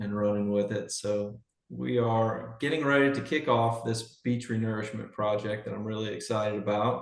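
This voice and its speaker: A man speaks with a strong Southern US accent at a medium pitch. His pace is moderate. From Louisiana, Baton Rouge. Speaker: public district general manager. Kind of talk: public meeting report. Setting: video call.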